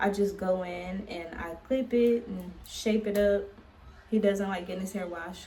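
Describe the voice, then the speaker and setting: At a fairly slow pace, a woman speaks with medium pitch and big swings in loudness. The recording carries noticeable background noise and audible room echo. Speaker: vlogger and author. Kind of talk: casual vlog. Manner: animated.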